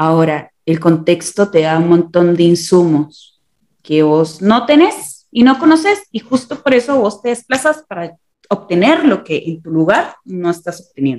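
With an unremarkable speaking voice, a woman talks at a fairly slow pace, her fairly low pitch carried by lively intonation. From Costa Rica. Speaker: visual and performing artist. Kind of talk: interview. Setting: remote call.

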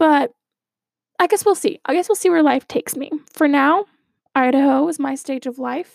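Her high voice carries an American accent as this woman talks at a moderate pace with ordinary pitch variation and long, frequent pauses, the sound dry and close with no echo. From Arizona. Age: 20s. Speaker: podcast host and student. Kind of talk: personal monologue.

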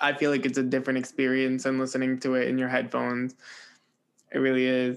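Over a quiet background, a man with an American accent talks fairly quickly in an ordinary speaking voice with fairly high pitch. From New Jersey. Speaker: music podcast host. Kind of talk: interview.

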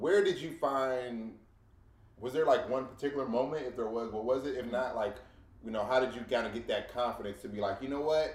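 Speaking at a fairly quick pace, a man with a plain, everyday voice keeps a medium pitch with ordinary pitch variation. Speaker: podcast co-host. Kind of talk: casual chat.

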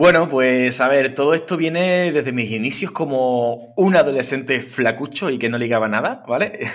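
A man has an ordinary speaking voice at a medium pitch, with ordinary pitch variation and a moderate pace. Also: hardly any pauses. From Huelva, Andalusia, Spain. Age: 30s. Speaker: fitness trainer. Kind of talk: interview. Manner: frequent tag questions.

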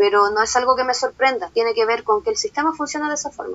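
Her speech comes at a very fast pace. The woman's high pitch carries lively intonation. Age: 30s. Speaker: self-employed worker. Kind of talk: interview.

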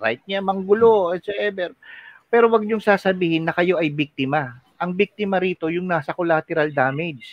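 A man's high-pitched voice with ordinary pitch variation, at a moderate pace. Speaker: podcast co-host. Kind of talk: casual chat.

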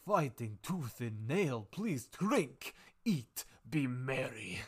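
In a put-on character voice, a man speaks very slowly at a medium pitch. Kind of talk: regal, formal. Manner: welcoming, hospitable.

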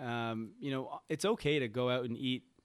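A man's normal speaking voice with a Canadian accent, medium pitch and ordinary pitch variation. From Canada, Toronto. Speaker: health coach. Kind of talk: podcast interview. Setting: remote call.

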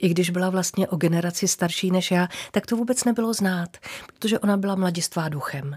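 The voice is somewhat breathy, with ordinary pitch variation. Its pace is fairly quick. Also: woman, medium pitch for a woman. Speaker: former TV announcer and presenter. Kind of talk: casual interview.

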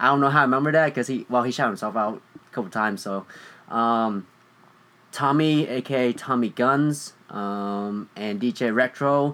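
This man speaks with a Vietnamese accent at a medium pitch. He goes at a fairly slow pace with ordinary pitch variation. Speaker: podcast co-host. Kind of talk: casual chat.

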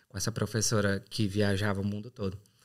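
A man with a Ceará accent at a moderate pace. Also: very clean recording, silent background. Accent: Brazilian Portuguese, northeastern (Ceará). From Brazil, Ceará (São Benedito, Serra da Ibiapaba). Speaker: English teacher turned exchange student and night porter. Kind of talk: casual interview chat.

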